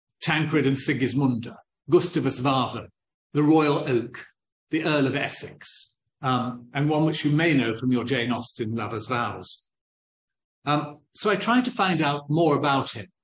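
Audible room echo surrounds a somewhat breathy man who speaks fairly slowly with ordinary pitch variation. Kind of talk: lecture. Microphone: video call.

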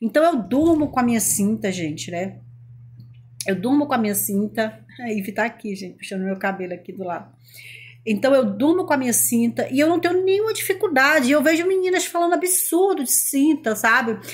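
Her voice is high-pitched and swings very widely in pitch. The woman speaks at a fairly quick pace. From Brazil. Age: 40s. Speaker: lifestyle vlogger. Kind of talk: casual vlog monologue. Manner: animated. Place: home room. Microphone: phone near.

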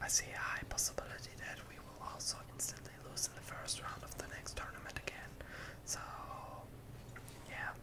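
Speech at a moderate pace comes with long, frequent pauses over loud background noise. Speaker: ASMR creator. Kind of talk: ASMR gaming whisper commentary.

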